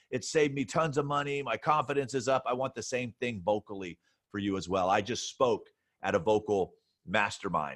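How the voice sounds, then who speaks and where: A man speaks at a medium pitch and a fairly quick pace with lively intonation, in a dry, close sound with no echo. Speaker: podcast host.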